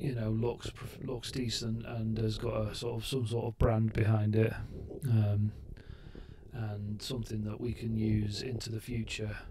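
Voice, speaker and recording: Over noticeable background noise, a man with a British accent speaks fairly slowly in a monotone, flat way. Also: medium pitch for a man. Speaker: vlogger recovering from brain surgery. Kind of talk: casual vlog talk to camera. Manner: halting, many ums and restarts.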